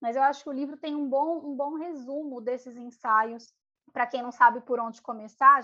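A woman speaks with fairly even intonation. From São Paulo periphery, Brazil. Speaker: podcast co-host. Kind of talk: casual chat about readings.

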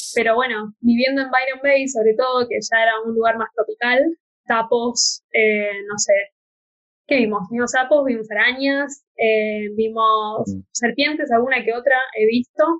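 Here is a woman with a plain, everyday voice. Her pitch is fairly high, and her intonation fairly even. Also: fairly slow pace. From Argentina. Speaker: podcast host. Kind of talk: casual chat.

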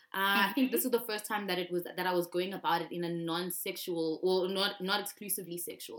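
A woman talks at a very fast pace with hardly any pauses. Her intonation stays fairly even over noticeable background noise. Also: medium pitch for a woman. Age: 20s. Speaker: musician. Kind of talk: casual chat. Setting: video call.

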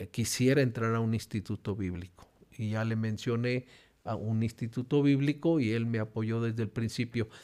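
In a very clean recording with a silent background, a man talks at a moderate pace and medium pitch, his dark, mellow tone carried by fairly even intonation. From Mexico. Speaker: pastor and regional church presbyter. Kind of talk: interview testimony. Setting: church.

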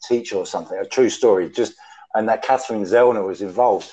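The speaker is a man. He has a British accent. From UK. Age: 50s. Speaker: former prisoner, true crime writer. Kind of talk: casual chat. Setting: video call.

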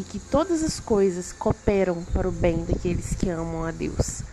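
The voice moves at a fairly slow pace with noticeable background noise around it. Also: woman. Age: 30s. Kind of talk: devotional monologue.

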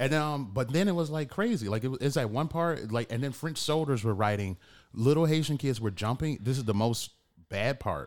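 With an American accent, a man in a normal speaking voice talks at a fairly quick pace and medium pitch, his intonation lively, on a very clean recording with a silent background. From Detroit, Michigan. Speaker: podcast host. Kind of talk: casual chat.

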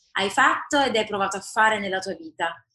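In a normal speaking voice, a woman talks at a moderate pace. Her pitch is fairly high. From Naples, Italy. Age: 30s. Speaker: politician. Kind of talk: interview.

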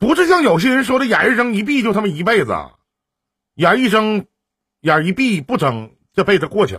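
A high male voice with very wide swings in pitch, at a moderate pace. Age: 40s. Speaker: live-stream relationship advice host. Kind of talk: call-in advice chat. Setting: live stream. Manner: animated.

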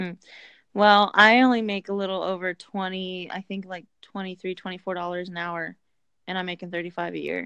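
A woman's medium-pitched, monotone voice at a fairly slow pace, with big swings in loudness against a quiet background. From Indiana, US Midwest. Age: 20s. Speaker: truck driver recruiter. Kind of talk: casual chat.

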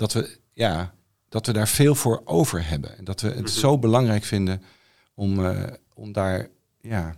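In an unremarkable speaking voice, a man talks at a fairly slow pace with a fairly low pitch and ordinary pitch variation. The recording is very clean, with a silent background. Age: 50s. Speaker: songwriter and philosophy student. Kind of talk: casual chat.

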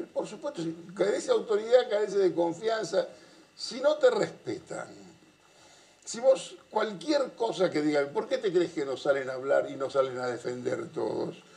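Very wide pitch swings in a man's high voice, at a moderate pace. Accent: Rioplatense. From Argentina, Buenos Aires area (Avellaneda). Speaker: political analyst. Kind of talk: casual chat.

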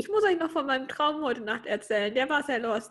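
A woman talks fairly quickly, with little sound behind her. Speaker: podcast co-host. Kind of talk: casual chat.

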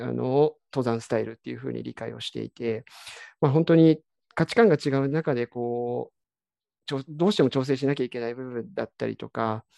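Over a quiet background, the speech moves at a fairly quick pace with a dry, close sound and no echo. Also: man. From Kiryu, Gunma, Japan. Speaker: trail runner. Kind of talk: interview.

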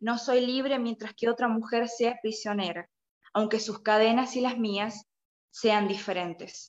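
A woman's fairly high voice at a fairly slow pace, her intonation fairly even. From Argentina, La Rioja. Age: 20s. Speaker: young writer. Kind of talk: reading aloud prepared review.

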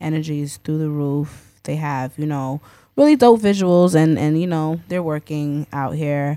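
On a very clean recording with a silent background, a woman with a New York accent speaks at a very deep, low pitch with ordinary pitch variation. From Queens, New York. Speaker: DJ. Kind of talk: casual chat.

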